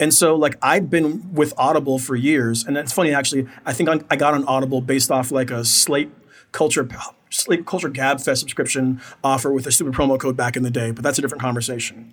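Fairly quick and fairly even in intonation, a man talks in a plain, everyday voice pitched fairly high. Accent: American. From United States. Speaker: podcast host. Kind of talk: casual chat.

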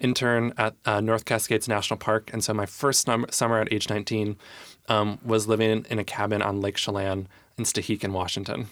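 Very clean and silent in the background, this recording has a man with an American accent and a fairly low pitch. He talks at a fairly quick pace in a monotone, flat intonation. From US Midwest, Michigan. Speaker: arts nonprofit director. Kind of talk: casual interview.

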